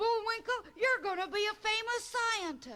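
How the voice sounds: In a cartoonish character voice, the speaker talks at a moderate pace with an extremely high pitch.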